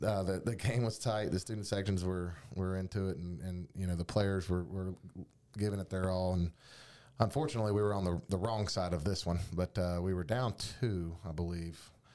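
A man with an American accent speaks at a fairly quick pace in a very deep, low pitch. His tone is dark and mellow, his intonation fairly even, and the recording very clean with a silent background. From North Carolina. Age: 30s. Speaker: podcast co-host and academic coach. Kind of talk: casual sports chat. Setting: studio.

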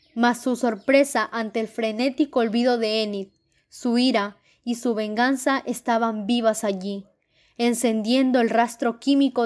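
This woman has an unremarkable speaking voice, fairly high in pitch with fairly even intonation. She talks at a fairly slow pace on a very clean recording with a silent background. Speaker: narrator reading a short story aloud. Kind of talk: dramatic narration, ghost story read aloud with a tense, hushed build. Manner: tense, hushed and suspenseful, slowing down for the frightening moments.

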